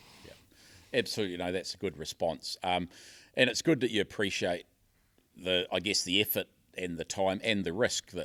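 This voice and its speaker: In a New Zealand accent, a man talks at a fairly quick pace, his voice dry and close with no echo on a very clean recording with a silent background. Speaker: podcast host and fisherman. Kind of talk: interview. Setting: hotel conference venue. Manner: halting.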